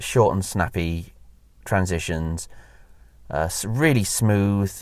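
The speaker has a Welsh accent. Pitch variation is ordinary. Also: man. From Wales. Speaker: podcast host, theme park enthusiast. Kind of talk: casual solo monologue. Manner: hesitant, many fillers.

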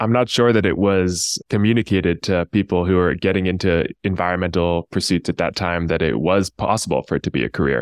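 At a fairly quick pace with hardly any pauses, a man with a very deep, low pitch speaks at very even loudness and ordinary pitch variation, in a dry, close sound with no echo. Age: young. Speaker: podcast host, sustainability consultant. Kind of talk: interview.

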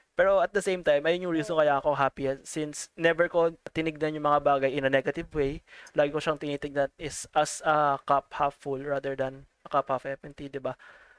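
In a very clean recording with a silent background and a dry, close sound with no echo, a man talks fairly quickly at a fairly high pitch in a flat monotone. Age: 20s. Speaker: podcast co-host. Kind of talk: casual chat.

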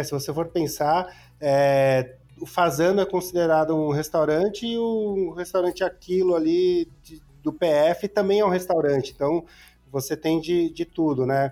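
Speaking at a fairly slow pace, a man uses a high pitch and a dark, mellow tone with ordinary pitch variation. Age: 40s. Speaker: motel guide entrepreneur. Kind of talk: podcast interview. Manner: casual.

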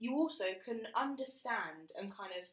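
The woman's voice is fairly high in pitch, with a British accent. Her intonation is lively. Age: 20s. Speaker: podcast co-host. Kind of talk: casual chat. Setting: studio, recording in person.

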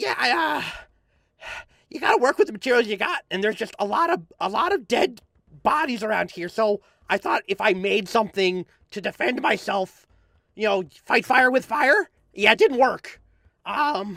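A man's put-on character voice, high in pitch, broken by long, frequent pauses. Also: moderate pace. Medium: actual play. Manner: stammering, halting, repeats words.

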